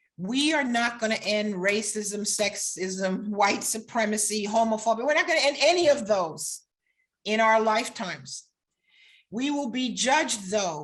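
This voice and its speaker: Lively intonation rises and falls in an American accent. The voice is somewhat breathy. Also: woman. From New York / New Jersey area. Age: 60s. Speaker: law professor. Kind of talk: lecture.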